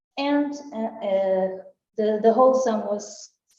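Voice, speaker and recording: Her words come out very slowly. The woman's pitch sits fairly high. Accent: Portuguese. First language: Portuguese. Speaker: art researcher. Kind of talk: conference talk. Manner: halting.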